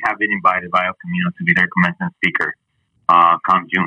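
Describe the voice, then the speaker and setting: A man talks with a Spanish accent. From Mexico City. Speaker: sports broadcaster. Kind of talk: casual interview.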